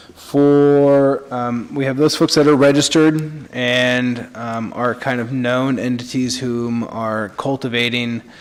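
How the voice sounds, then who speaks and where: A man talks at a very slow pace with hardly any pauses, his medium pitch held in a monotone, flat intonation. Noticeable background noise runs under his voice. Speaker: city official. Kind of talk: public meeting presentation. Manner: halting, many fillers.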